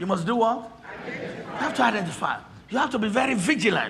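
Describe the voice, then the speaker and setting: The speech comes at a fairly quick pace with lively intonation, over noticeable background noise. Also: man. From Nigeria. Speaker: pastor. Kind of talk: sermon. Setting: church. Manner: animated.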